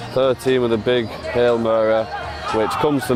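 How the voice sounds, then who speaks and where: The speech moves at a moderate pace. A crowd can be heard in the background. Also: man. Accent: Lancashire. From northern England, Wigan. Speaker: rugby league commentator. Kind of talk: live commentary. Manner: animated.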